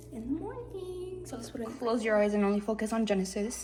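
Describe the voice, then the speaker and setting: A woman's voice with noticeable background noise. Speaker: home baking vlogger. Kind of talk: casual tutorial.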